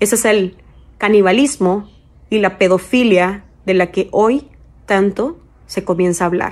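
Speaking at a very slow pace, a woman is heard. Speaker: social media commentator. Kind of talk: casual vlog commentary, warning to parents. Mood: earnest, alarmed, urging. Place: home room. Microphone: phone near.

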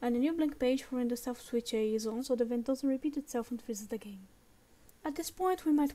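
A woman speaks at a very fast pace with a high pitch and ordinary pitch variation, in a non-native accent. Noticeable background noise sits behind her. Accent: non-native English pronunciation. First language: non-native English speaker. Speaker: game-making tutorial creator. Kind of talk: software tutorial narration. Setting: home recording with a low-quality mic.

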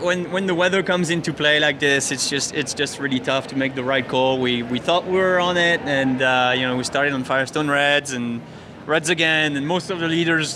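A man speaks with ordinary pitch variation. Background noise is noticeable. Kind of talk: interview answer. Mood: reflective, mildly frustrated. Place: stadium. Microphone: handheld.

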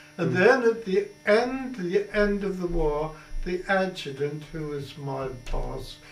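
A man's high-pitched voice at a fairly slow pace, with light background noise and audible room echo. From Colchester, Essex, England. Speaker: war veteran. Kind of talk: oral history interview answer. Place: home room.

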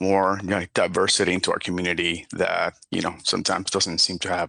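A man's fairly low voice with a Spanish accent, bright and sharp in tone, over a quiet background. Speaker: parent speaking at public comment. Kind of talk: public comment statement. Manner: halting, with repetitions and fillers.

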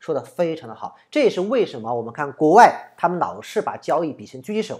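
Spoken at a very fast pace in a southern Chinese accent, the clip is a very clean recording with a silent background. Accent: southern Chinese accent in Mandarin. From southern China. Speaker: trading analyst and online educator. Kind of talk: commentary on viewer comments. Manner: halting, many fillers.

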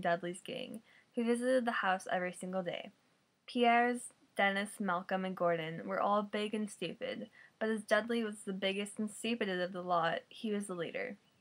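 The voice carries an American accent and ordinary pitch variation. It moves at a moderate pace. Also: woman. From Missouri, USA. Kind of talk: novel reading aloud. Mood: relaxed, amused. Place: home room. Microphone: webcam.

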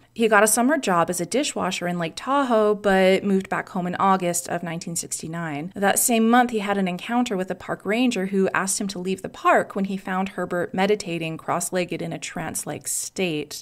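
At a moderate pace and with hardly any pauses, a woman talks in a plain, everyday voice of medium pitch and ordinary pitch variation. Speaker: podcast host. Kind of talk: true-crime narration. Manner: conversational, wry, sarcastic asides; clear, measured storytelling pace.

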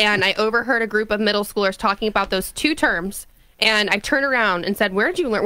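Talking at a very fast pace, a woman with a fairly high, bright and sharp voice keeps her loudness very even and shows ordinary pitch variation, the sound dry with no echo against a quiet background. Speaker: radio co-host. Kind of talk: political talk radio. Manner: casual. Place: studio. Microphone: studio mic.

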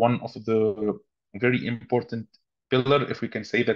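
A man in a monotone, flat intonation against a quiet background. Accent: Arabic. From Tunisia. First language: Arabic. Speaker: human rights activist; panelist. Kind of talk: webinar talk. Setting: video call. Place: home room. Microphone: video call.

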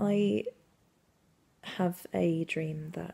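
Somewhat breathy, a woman speaks very deep and low with a dark, mellow tone. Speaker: actor. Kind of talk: dramatic monologue performance. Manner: intimate, confessional. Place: home room. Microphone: phone near.

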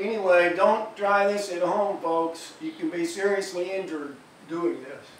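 With light background noise and audible room echo, a man speaks at a moderate pace in a high pitch, showing ordinary pitch variation and big swings in loudness. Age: 60s. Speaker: musician. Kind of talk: casual vlog message. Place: home room. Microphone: camera far.

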